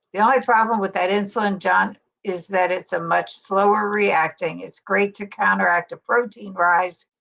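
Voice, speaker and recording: At a moderate pace and with hardly any pauses, a woman speaks with vocal fry and fairly even intonation. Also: medium pitch for a woman. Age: 60s. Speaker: keto YouTuber. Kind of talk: casual chat.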